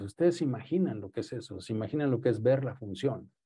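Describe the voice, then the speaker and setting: Against a quiet background, a dark, mellow voice moves at a moderate pace with lively intonation. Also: man. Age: 60s. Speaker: radiologist lecturer. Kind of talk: lecture.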